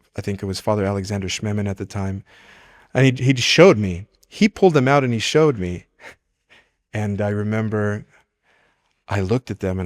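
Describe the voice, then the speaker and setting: In a Spanish accent, a man with fairly low pitch talks at a fairly quick pace yet leaves long, frequent pauses, with ordinary pitch variation. The sound is dry and close with no echo, on a very clean recording with a silent background. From California, Mexican-American. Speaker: priest. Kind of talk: testimony. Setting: chapel. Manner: halting, with self-corrections.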